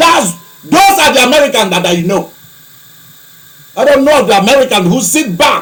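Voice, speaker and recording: A man with an African accent speaks at a moderate pace, his tone animated and his intonation lively. Noticeable background noise sits behind him. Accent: African-sounding. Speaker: preacher, archbishop of own church. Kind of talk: broadcast sermon-style monologue. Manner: animated, heated.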